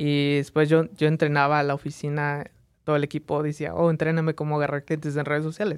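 Over a silent background in a very clean recording, a man talks very fast at a fairly high pitch with flat, monotone intonation. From Las Vegas, Nevada (born in Mexico, moved at age 3). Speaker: photographer and content creator. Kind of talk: casual interview. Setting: studio.

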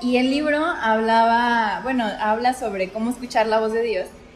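A woman's high-pitched voice at a moderate pace, with noticeable background noise. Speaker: podcast co-host. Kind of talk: casual chat about faith.

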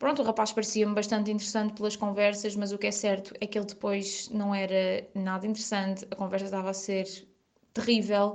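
A woman with a fairly high pitch, fairly quick pace and monotone, flat intonation. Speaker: friend of the host. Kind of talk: recorded storytelling.

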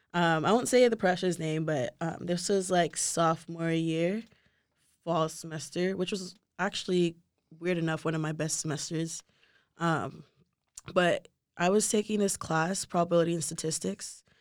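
A woman with an American accent uses a normal speaking voice, fairly low in pitch, at a moderate pace with fairly even intonation. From Nigeria, later Texas. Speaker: engineering student. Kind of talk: casual interview.

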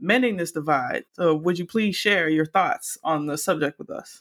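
In a very clean recording with a silent background and a dry, close sound with no echo, a woman with a normal speaking voice and an American accent talks at a moderate pace in a fairly low pitch. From US South, Miami, Florida. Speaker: podcast host. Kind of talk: casual chat.

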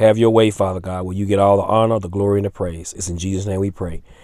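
A man with a fairly low pitch and a dark, mellow tone races along at a very fast pace, his intonation fairly even. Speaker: lay minister leading a weekly prayer. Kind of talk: fervent extemporaneous prayer, repetitive petitions punctuated by 'Father God'. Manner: earnest and pleading, with a rhythmic refrain of 'Father God'; unscripted, occasional stumbles and repeated words.

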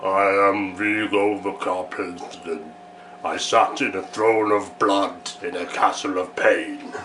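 A man puts on a character voice with a fairly low pitch. He speaks at a fairly slow pace over clear background noise. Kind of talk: horror villain impression. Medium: game stream. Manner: grandiose, sinister.

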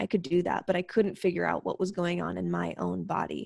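The speech comes at a moderate pace with an American accent in a very clean recording over a silent background. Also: woman. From US Pacific Northwest (Spokane, Washington). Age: 30s. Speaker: entrepreneur teaching medicinal mushroom use. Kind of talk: casual interview chat.

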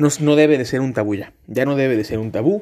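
A man speaks at a moderate pace and a medium pitch, his tone dark and mellow. The recording is very clean, with a silent background. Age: 20s. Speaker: podcast host, law student. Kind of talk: casual monologue. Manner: filler-heavy, hesitant.

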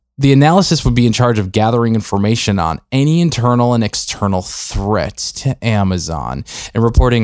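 This man speaks in an ordinary speaking voice at a fairly quick pace, his intonation lively. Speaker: podcast co-host. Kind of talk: casual chat with a scripted news-parody skit. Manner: conversational, laughs while riffing.

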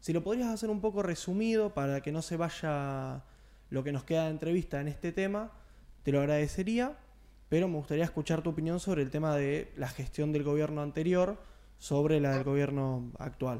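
With a dark, mellow tone and a fairly high pitch, a man speaks at a moderate pace with ordinary pitch variation, recorded very cleanly against a silent background. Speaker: radio show co-host. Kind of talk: casual chat.

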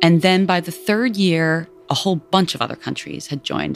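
A woman with a New York accent at a moderate pace. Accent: New York American. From New York City, Lower East Side. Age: 40s. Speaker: nonprofit CEO. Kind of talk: interview. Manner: casual, filler-heavy.

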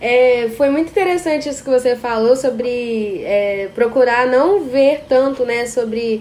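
A woman with a high pitch speaks at a fairly slow pace, with ordinary pitch variation. Noticeable background noise is present. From Brazil, Espírito Santo. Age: 20s. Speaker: podcast host and psychology student. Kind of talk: casual interview chat.

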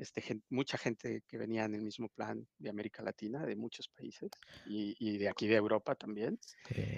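A fairly low male voice with monotone, flat intonation. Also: moderate pace, dry, close sound with no echo. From Mexico, Oaxaca. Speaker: bitcoin event organizer. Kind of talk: podcast interview.

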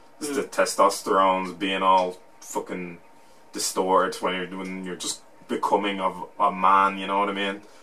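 With an Irish accent and noticeable background noise, a man speaks at a moderate pace, his loudness swinging widely. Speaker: podcast host. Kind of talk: casual banter.

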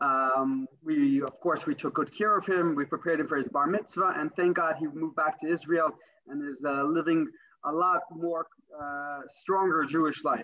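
A man's plain, everyday voice, fairly high-pitched, at a moderate pace with fairly even intonation. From US, Brooklyn NY. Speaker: rabbi, religious emissary. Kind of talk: interview.

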